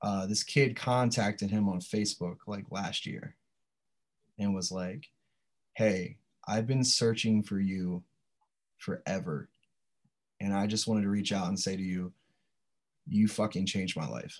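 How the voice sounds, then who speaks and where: A man with an American accent, fairly low-pitched, with ordinary pitch variation and long, frequent pauses. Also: fairly slow pace. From Delaware, Sussex County (rural US East Coast). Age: 30s. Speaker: powerlifter and English teacher. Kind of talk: casual chat.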